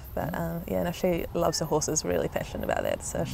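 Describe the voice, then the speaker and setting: A woman with a New Zealand accent talks at a very fast pace. Noticeable background noise runs behind her. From New Zealand, Canterbury and Auckland. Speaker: netball player. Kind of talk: interview.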